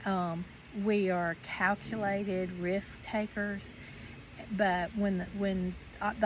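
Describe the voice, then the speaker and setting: Somewhat breathy, the woman's voice sits at a medium pitch. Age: 60s. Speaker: retiree vlogger. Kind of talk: casual chat. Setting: outdoors. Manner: halting.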